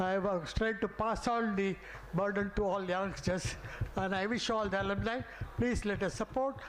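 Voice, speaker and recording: A man with a high pitch speaks at a moderate pace with fairly even intonation and very even loudness, with audible room echo. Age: 80s+. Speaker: senior alumnus. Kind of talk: speech. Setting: stage with audience. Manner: halting.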